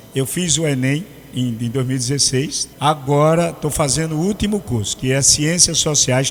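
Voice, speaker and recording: A plain, everyday voice at a moderate pace. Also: man. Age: 60s. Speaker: radio host. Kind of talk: interview. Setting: radio studio.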